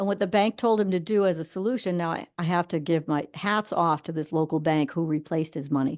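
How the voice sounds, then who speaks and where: Speaking at a very fast pace with hardly any pauses, a woman has a fairly low voice. Her pitch varies in an ordinary way, over a quiet background. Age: 60s. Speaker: financial advice show host. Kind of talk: casual chat. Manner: conversational, with frequent fillers.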